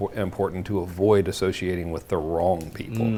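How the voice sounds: A man speaks at a fairly quick pace.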